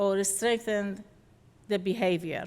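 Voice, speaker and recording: Speaking with a non-native accent, a woman uses a fairly high pitch with ordinary pitch variation. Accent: foreign accent, noticeable. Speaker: behavior analyst presenter. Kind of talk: lecture. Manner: halting, self-correcting.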